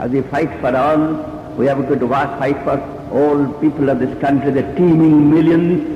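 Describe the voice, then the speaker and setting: A man with an Indian accent talks at a fairly high pitch over noticeable background noise. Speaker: trade union leader. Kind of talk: public speech.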